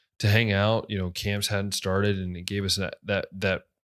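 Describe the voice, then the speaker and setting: This man's voice sits at a fairly low pitch. The recording is very clean, with a silent background. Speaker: podcast host. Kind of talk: casual podcast talk.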